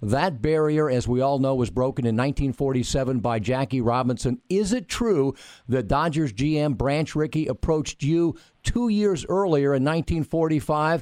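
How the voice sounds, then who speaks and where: A man with an unremarkable speaking voice talks fairly slowly at a fairly high pitch with lively intonation. His loudness stays very even against a quiet background. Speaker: radio host. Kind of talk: radio interview, casual chat.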